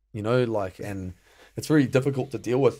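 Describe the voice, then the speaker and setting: A very fast man's voice with an Australian accent, dark, mellow tone and ordinary pitch variation, on a very clean recording with a silent background. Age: 30s. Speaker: male stripper and actor. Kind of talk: casual interview chat.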